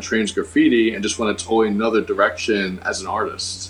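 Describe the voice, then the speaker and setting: This man talks at a moderate pace in an unremarkable speaking voice, his pitch sitting in the medium range. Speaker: graffiti artist. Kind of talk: casual chat.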